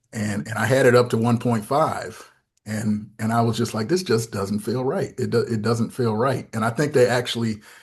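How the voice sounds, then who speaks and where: Against a quiet background, a man with a medium pitch and an American accent sounds somewhat breathy. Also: ordinary pitch variation, moderate pace. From US Northeast, Syracuse, New York. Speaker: pastor and theology fellow. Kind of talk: podcast interview. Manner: halting, many repetitions.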